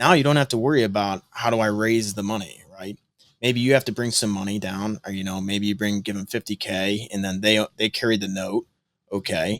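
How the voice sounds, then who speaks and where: A man's fairly low voice with an American accent, fairly quick and fairly even in intonation. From US Midwest (northwest Ohio). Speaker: real estate investor. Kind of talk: podcast interview.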